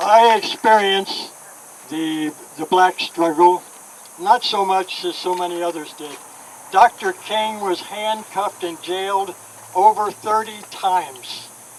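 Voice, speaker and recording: A man with a high-pitched voice speaks at a fairly slow pace with fairly even intonation, his loudness swinging widely over noticeable background noise. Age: 80s+. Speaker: civil rights activist. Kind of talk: speech.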